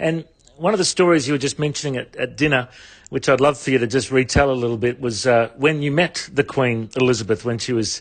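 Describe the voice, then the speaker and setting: Against a quiet background, a man with an Australian accent speaks at a very fast pace with ordinary pitch variation. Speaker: radio interviewer. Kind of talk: radio interview.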